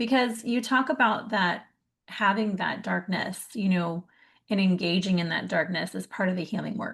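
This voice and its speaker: In a quiet background, a woman talks at a moderate pace and medium pitch, somewhat breathy, with ordinary pitch variation. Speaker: summit interviewer. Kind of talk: interview conversation.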